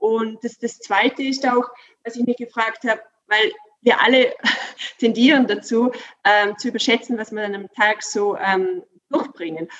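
A woman's fairly high pitch, moderate pace and ordinary pitch variation, broken by long, frequent pauses. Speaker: workplace coach. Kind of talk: interview. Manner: animated; halting.

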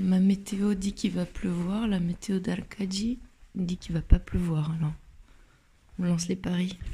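A dark, mellow, somewhat breathy voice moves at a fairly slow pace with fairly even intonation and long, frequent pauses. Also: woman, medium pitch for a woman. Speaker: travel podcaster walking a pilgrimage. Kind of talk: travel diary monologue.

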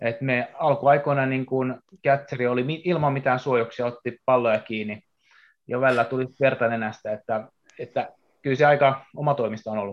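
At medium pitch and a moderate pace, a man talks in an ordinary speaking voice. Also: fairly even intonation. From Japan. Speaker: baseball player. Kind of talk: casual chat.

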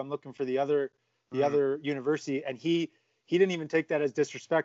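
A man speaks with fairly even intonation and a fairly high pitch. He has a normal speaking voice. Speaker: podcast host. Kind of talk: casual interview.

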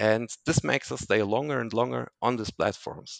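A man with a non-native accent at medium pitch and moderate pace, with very wide pitch swings and a dry, close sound with no echo over a quiet background. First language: not English. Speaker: entrepreneur, founder of digital detox platform. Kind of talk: casual interview. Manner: halting, many fillers.

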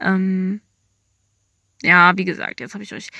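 A woman's bright, sharp voice at medium pitch, fairly even in intonation, dry and close with no echo in a very clean recording with a silent background. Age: young. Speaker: podcast host. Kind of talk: casual monologue. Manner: casual, with many filler sounds.

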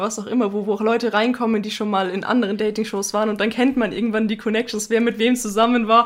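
Over noticeable background noise, a woman talks very fast in a fairly high pitch with a monotone, flat intonation. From Bavaria. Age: 20. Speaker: podcast co-host. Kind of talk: casual chat.

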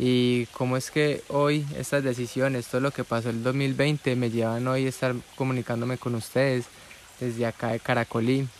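Over noticeable background noise, a voice speaks at a moderate pace in a flat monotone. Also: man, medium pitch for a man. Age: 20s. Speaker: entrepreneur and podcaster. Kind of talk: personal storytelling monologue.

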